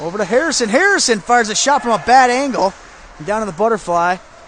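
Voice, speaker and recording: Speaking with an American accent, a man talks at a fairly quick pace in a high pitch with ordinary pitch variation, noticeable background noise behind him. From Indiana, USA. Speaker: aspiring sports broadcaster. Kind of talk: hockey play-by-play commentary. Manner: fast.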